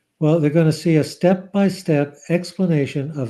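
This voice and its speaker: At a moderate pace, a man speaks in a dark, mellow voice with ordinary pitch variation. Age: 70s. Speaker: psychiatrist and author. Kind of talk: interview.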